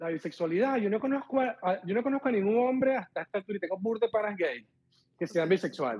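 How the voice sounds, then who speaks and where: Speaking at a very fast pace, a man with a high pitch and lively intonation comes through with a dry, close sound and no echo. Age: 40s. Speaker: caller looking for a partner. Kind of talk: casual chat.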